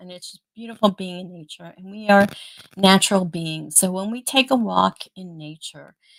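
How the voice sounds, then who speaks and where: With lively intonation, a woman talks at a fairly slow pace in an unremarkable speaking voice. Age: 50s. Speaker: live stream host. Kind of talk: casual chat. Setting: live stream.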